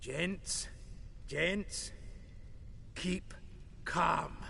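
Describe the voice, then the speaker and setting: A man's put-on character voice amid clear background noise. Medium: video game.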